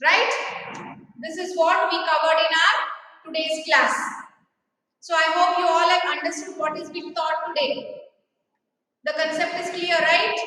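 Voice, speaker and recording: A woman speaks in a raised, projected voice at an extremely high pitch, her intonation fairly even. She talks at a fairly slow pace with long, frequent pauses, and the room echo is audible. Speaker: school teacher. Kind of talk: online class lecture.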